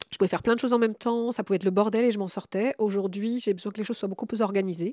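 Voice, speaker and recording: A woman at a very fast pace and medium pitch, with a dark, mellow tone, fairly even intonation, and a dry, close sound with no echo. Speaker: radio host. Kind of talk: radio discussion. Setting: home.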